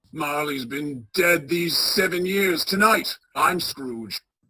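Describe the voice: A woman's put-on character voice at a fairly low pitch and slow pace, with a bright, sharp tone, a slightly husky edge and lively intonation.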